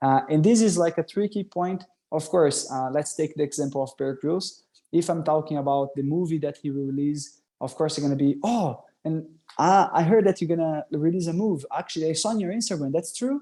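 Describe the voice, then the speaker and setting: With a Portuguese accent, this man has a fairly high pitch, a dark, mellow tone, ordinary pitch variation and a fairly quick pace. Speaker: workshop presenter, scout youtuber. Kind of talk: online workshop. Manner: casual, hesitant with fillers.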